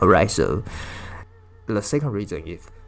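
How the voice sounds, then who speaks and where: Over music in the background, a man speaks with a Chinese accent. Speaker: language teacher. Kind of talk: video lesson. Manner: halting, with many fillers.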